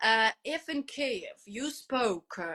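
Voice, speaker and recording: Bright and sharp in tone, a woman's voice sits at a high pitch. She speaks with a Ukrainian accent and lively intonation. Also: dry, close sound with no echo. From Ukraine. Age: 30s. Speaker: English teacher. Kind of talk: interview. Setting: online live stream. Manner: halting, many fillers.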